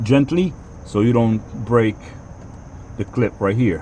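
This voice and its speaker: A man speaks at a fairly slow pace and a medium pitch. His pitch varies in an ordinary way, over noticeable background noise. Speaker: car owner making a DIY repair video. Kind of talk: casual tutorial. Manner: halting, self-described stuttering.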